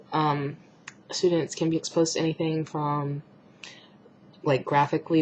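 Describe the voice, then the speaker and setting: A woman's very deep, low voice, fairly quick and flat in intonation, with noticeable background noise. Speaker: student presenting coursework. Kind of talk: recorded class assignment talk. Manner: hesitant, many fillers.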